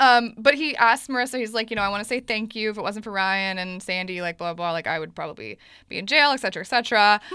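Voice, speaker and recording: Delivered at a very fast pace with hardly any pauses, the voice has a bright, sharp tone and ordinary pitch variation on a very clean recording with a silent background. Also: woman, fairly high pitch for a woman. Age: 20s. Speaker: podcast host. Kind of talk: casual chat. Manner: animated.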